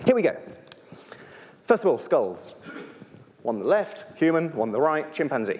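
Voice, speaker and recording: A man's high voice with a British accent, fairly quick and with very wide pitch swings, over noticeable background noise. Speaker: primatologist and evolutionary biologist. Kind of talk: live stage talk. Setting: stage with audience. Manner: fast; animated.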